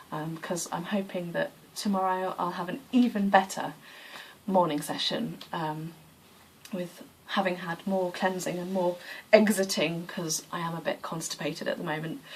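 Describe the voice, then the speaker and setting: A woman speaks at a moderate pace in a somewhat breathy, fairly low-pitched voice with fairly even intonation. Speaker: yoga practitioner vlogger. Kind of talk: casual vlog monologue.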